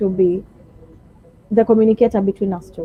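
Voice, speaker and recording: A woman talks in a Kenyan accent. Her pitch is medium and her intonation fairly even. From Kenya, Kilifi (Giriama). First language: Giriama. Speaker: shop salesperson. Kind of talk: interview.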